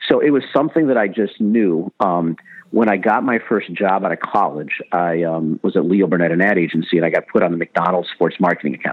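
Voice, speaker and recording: A man with an American accent and a very deep, low voice, talking at a very fast pace with ordinary pitch variation. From Chicago. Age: 50s. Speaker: sports marketing executive. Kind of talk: interview.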